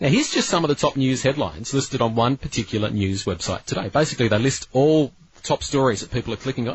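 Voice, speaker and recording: A man talks at a very fast pace with lively intonation. His voice is medium in pitch and somewhat breathy. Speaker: radio presenter. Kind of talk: talk radio show.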